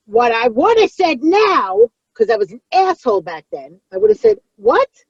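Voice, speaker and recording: A high-pitched woman with a New York accent, very wide pitch swings, big swings in loudness, a moderate pace and a dry, close sound with no echo. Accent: New York (Brooklyn-like). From Long Island, New York. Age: 40s. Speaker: comedian. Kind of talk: casual chat. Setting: in a car. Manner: animated.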